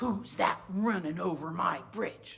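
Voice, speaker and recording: A put-on character voice growls at a middle pitch. The pace is fairly slow. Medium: read story. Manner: gruff, threatening.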